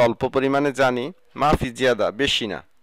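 A plain, everyday voice, dry and close with no echo, on a very clean recording with a silent background. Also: man. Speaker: Arabic language teacher. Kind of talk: tutorial.

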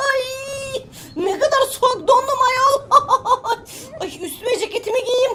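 This put-on character voice is extremely high and fairly slow, broken by long, frequent pauses. Background noise is clearly heard. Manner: funny, exaggerated.

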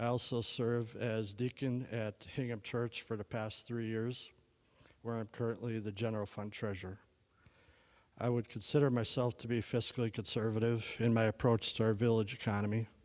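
A man speaks with a Wisconsin accent. His intonation stays monotone and flat. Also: medium pitch for a man, moderate pace. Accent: Upper Midwest (Wisconsin). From Wisconsin, Sheboygan County. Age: 40s. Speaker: local election candidate. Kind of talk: candidate forum statement. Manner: formal.

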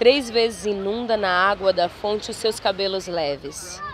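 A woman at a very slow pace, in a dry sound with no echo, with crowd noise in the background. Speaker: poetry reader. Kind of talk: poetry reading. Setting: outdoors, beach. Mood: calm, solemn, intimate. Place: beach. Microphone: phone near.

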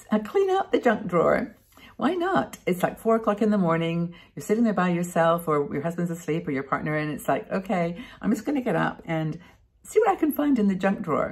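Somewhat breathy and lively in intonation, a woman talks at a fairly quick pace against a quiet background. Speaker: vlogger. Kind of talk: casual vlog chat. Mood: warm, cheerful. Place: home room. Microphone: webcam.

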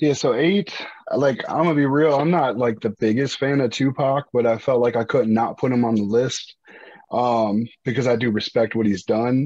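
In an American accent, a man speaks at a medium pitch and moderate pace, his tone dark and mellow. The sound is dry with no echo, over a quiet background. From US East Coast. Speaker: rapper. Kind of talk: casual chat. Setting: video call. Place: home room. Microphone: video call.

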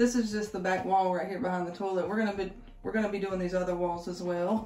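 A woman talks with fairly even intonation. The room echo is audible, and there is light background noise. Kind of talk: casual vlog chat. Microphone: phone near.

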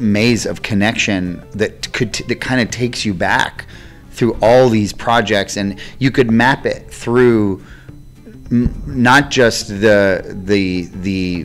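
Over faint music in the background, a man speaks at a very slow pace with a fairly low pitch and fairly even intonation. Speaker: interviewee. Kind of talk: interview answer. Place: hall. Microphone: handheld.

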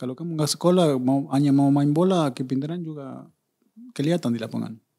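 A man with a Spanish accent and a dark, mellow tone, fairly quick with ordinary pitch variation, over a quiet background. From Argentina. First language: Spanish (speaking Indonesian). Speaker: former footballer and coach; guest. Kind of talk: interview; interview answer. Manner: halting, repeats words. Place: studio. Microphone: studio mic.

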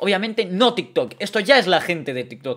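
A man speaks at a moderate pace with an animated tone against a quiet background. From Spain. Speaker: streamer. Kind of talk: live stream monologue. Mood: indignant about online hate. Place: home room. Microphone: studio mic.

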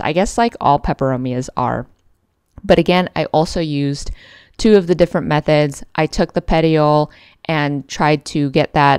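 In a dry sound with no echo, a woman with a very deep, low pitch speaks at a moderate pace. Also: quiet background. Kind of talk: casual vlog chat. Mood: enthusiastic, fond of plants. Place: home room. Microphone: phone near.

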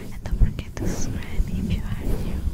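The voice is soft-spoken. It comes out as a whisper. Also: woman. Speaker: video creator. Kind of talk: soft-spoken outro chat. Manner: soft close-mic ASMR whisper. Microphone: studio mic.

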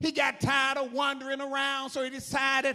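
Raised and projected, the voice has a bright, sharp tone and moves at a fairly slow pace against a quiet background. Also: man. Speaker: preacher. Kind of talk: sermon. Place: church. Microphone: handheld.

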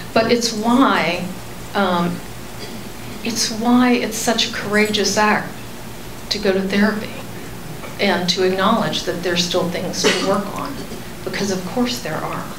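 A woman with an American accent at a fairly slow pace, with long, frequent pauses and ordinary pitch variation, over noticeable background noise. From Texas. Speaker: therapist. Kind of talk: lecture. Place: meeting room. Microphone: handheld.

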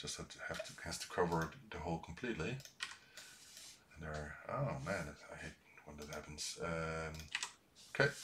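A man's very deep, low voice with a Dutch accent, lively intonation, big swings in loudness and a moderate pace, over noticeable background noise. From Netherlands. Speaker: YouTuber, retro computer hardware maker; YouTuber. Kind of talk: live-streamed tutorial. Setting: live stream from workshop. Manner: halting, many fillers. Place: home room.

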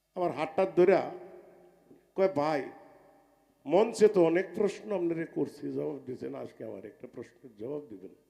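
With an unremarkable speaking voice, a man of fairly high pitch uses lively intonation and big swings in loudness. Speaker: folk singer. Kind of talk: stage talk between songs.

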